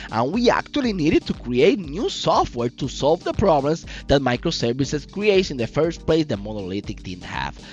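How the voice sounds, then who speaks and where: Music plays behind a man speaking at a moderate pace. He hardly pauses at all. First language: not English. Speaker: software developer YouTuber. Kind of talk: solo podcast monologue. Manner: animated; halting.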